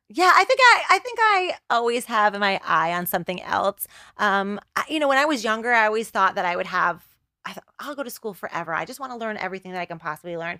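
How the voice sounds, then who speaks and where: Talking at a very fast pace, a woman with a New Jersey accent uses a fairly high pitch and lively intonation. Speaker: choreographer and TV producer. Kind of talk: podcast interview. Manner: casual, halting with fillers.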